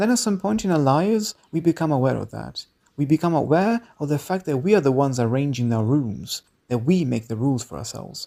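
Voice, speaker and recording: On a very clean recording with a silent background, a man with a non-native accent speaks at a moderate pace in a dark, mellow tone, his fairly high voice swinging very widely in pitch. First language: non-native English speaker. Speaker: video essayist. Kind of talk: video essay narration.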